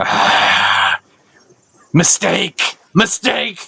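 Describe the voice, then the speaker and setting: This is a raspy, put-on character voice. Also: man, high pitch for a man. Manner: screaming in pain.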